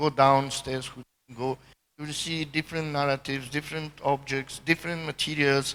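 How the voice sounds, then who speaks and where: A man with a Serbian accent at a moderate pace, fairly high-pitched, bright and sharp in tone, with fairly even intonation. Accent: Eastern European (Serbian) accent in English. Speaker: artist. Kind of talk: panel conversation. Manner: halting.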